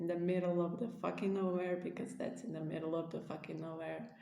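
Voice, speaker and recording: A woman speaks with a non-native accent. Audible room echo surrounds her voice. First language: not English. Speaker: spiritual vlogger. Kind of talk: casual monologue to camera. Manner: halting, many fillers.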